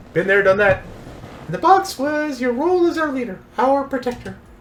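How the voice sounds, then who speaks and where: A man puts on a character voice. He pitches it extremely high. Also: moderate pace. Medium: virtual streamer. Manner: blunt, animated.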